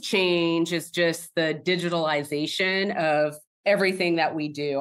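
An unremarkable speaking voice with an American accent. The pace is fairly slow, with ordinary pitch variation. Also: woman. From Oregon. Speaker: software engineer. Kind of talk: interview.

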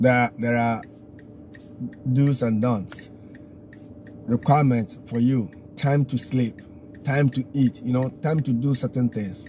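Over light background noise, a man with a dark, mellow tone speaks somewhat breathily at a very slow pace, with fairly even intonation and long, frequent pauses. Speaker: driver vlogger. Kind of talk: casual vlog chat. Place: car. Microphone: phone near.

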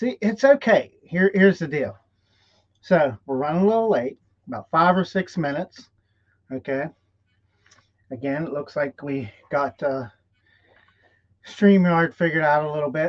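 Over a quiet background, a man with a fairly high pitch and ordinary pitch variation speaks at a moderate pace, with big swings in loudness and long, frequent pauses. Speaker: live stream host, business coach. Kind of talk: live stream talk. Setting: live stream. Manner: animated. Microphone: webcam.

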